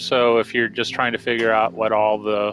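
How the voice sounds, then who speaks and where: A loud man with a bright, sharp tone. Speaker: game developer streamer. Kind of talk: live stream game walkthrough.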